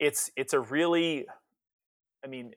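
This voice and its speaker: A man speaks with an American accent. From US. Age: 50s. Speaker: author. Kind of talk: interview. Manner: halting.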